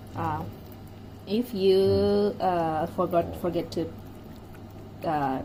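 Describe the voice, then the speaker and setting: A woman with a Japanese accent speaks at a very deep, low pitch, using very wide pitch swings and vocal fry. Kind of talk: cooking tutorial, translating a partner's explanation. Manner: hesitant, halting.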